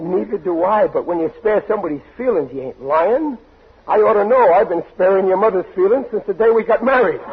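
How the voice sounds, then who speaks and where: Against noticeable background noise, a high-pitched man speaks at a fairly quick pace with lively intonation. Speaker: radio comedy actor playing a bumbling father. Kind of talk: old-time radio comedy drama. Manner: flustered, pleading, bluster.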